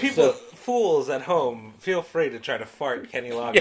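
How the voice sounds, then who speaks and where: A high-pitched man at a moderate pace, with big swings in loudness and noticeable background noise. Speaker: podcast co-host.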